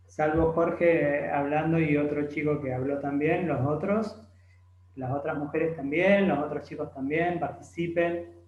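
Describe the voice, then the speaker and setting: With fairly even intonation and a fairly high pitch, a man's voice carries audible room echo over noticeable background noise. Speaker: math tutor. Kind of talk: tutorial.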